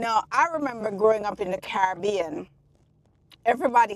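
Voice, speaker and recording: With a strong Jamaican accent, a woman speaks in an animated tone with lively intonation, medium pitch and a moderate pace. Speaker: public health doctor, channel host. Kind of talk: casual educational vlog. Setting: outdoors near construction site.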